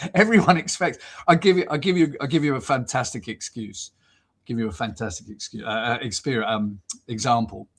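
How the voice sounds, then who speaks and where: With very wide pitch swings, a somewhat breathy man of medium pitch talks at a fairly quick pace. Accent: southern English. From southern England, Southampton. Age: 60s. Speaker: football commentator. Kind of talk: casual interview chat. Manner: hesitant, many fillers and repeats.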